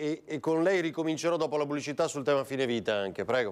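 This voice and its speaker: A man speaks at a very fast pace in a fairly high pitch. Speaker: TV talk show host. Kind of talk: live TV talk show. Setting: TV studio. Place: studio.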